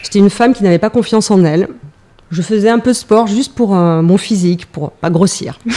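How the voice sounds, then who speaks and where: A woman speaks at a medium pitch in a dark, mellow tone. Her pace is fairly quick, with ordinary pitch variation. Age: 40s. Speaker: former police officer, sports event organizer. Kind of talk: casual chat.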